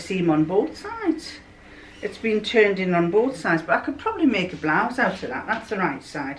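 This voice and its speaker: Very wide pitch swings from a female speaker, with noticeable background noise. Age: old. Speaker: home sewist. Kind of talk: casual show-and-tell of fabric to camera.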